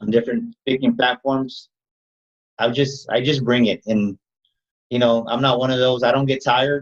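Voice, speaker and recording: A man speaks at a moderate pace and a medium pitch, leaving long, frequent pauses. The sound is dry and close, with no echo. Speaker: motivational speaker. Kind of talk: interview. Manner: energetic.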